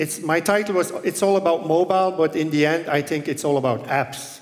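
A man talks with ordinary pitch variation, keeping a moderate pace. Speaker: conference keynote speaker. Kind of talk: conference talk. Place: hall. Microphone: headset.

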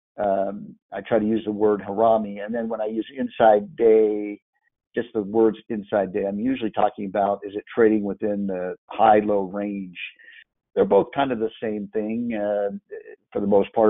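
This is a man whose voice sits fairly low in pitch. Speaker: trading instructor. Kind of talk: live online class. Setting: live online meeting. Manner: halting.

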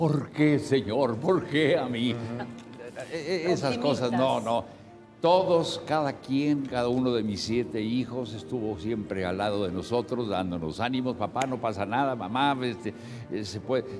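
Clear music plays in the background while a man speaks at a fairly slow pace. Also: medium pitch for a man. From northern Mexico (Saltillo, Coahuila). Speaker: actor. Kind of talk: TV interview answer. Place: studio.

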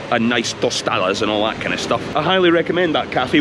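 A man with a Scottish accent at a fairly quick pace, his intonation lively, dry sound with no echo over noticeable background noise. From Scotland. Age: 40s. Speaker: travel vlogger. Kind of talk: informal walking tour commentary. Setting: outdoors walking in city streets. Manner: casual, chatty. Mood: relaxed, chatty. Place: street. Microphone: phone near.

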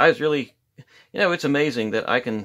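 Man at a moderate pace over a quiet background. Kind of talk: casual tutorial chat. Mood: easygoing, joking. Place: workshop. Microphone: phone near.

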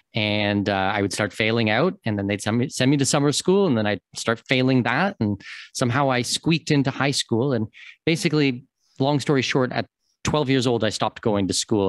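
A man with a Canadian accent talks fairly quickly at a medium pitch and with lively intonation, his loudness very even and the sound dry with no echo against a quiet background. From Canada, Toronto. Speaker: expat consultant and podcast host. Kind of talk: interview. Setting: remote call. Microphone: video call.

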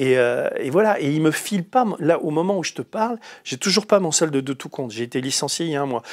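Against a quiet background, a man talks at a fairly quick pace. His pitch is fairly high, and his intonation is lively. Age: 60s. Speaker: investigative journalist and writer; journalist, interviewee. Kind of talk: long-form interview. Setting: studio, live broadcast. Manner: halting, many repetitions and fillers. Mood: indignant, animated. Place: studio.

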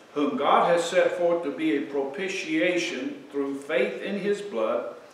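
Audible room echo surrounds a man who talks at a fairly slow pace with ordinary pitch variation. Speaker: preacher. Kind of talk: sermon, scripture reading. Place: church.

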